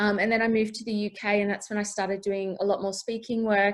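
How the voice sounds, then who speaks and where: Over noticeable background noise, a woman with an Australian accent talks at a fairly quick pace, her medium pitch held in a monotone, flat intonation. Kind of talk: panel introduction, casual. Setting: video call.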